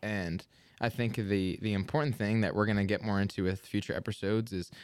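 Talking very fast, the man keeps his pitch fairly low. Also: very clean recording, silent background. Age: 20s. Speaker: podcast co-host, educator. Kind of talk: casual chat.

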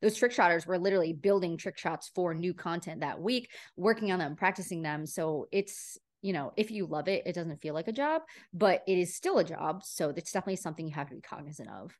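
A woman's fairly low voice over a quiet background, animated in tone, fairly quick, with ordinary pitch variation. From upstate New York. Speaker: talent agency founder. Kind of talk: interview conversation.

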